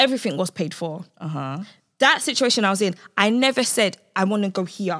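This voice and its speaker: Lively intonation marks this woman's medium-pitched voice as she speaks at a fairly quick pace. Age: 20s. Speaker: podcast co-host. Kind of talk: casual chat. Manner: animated.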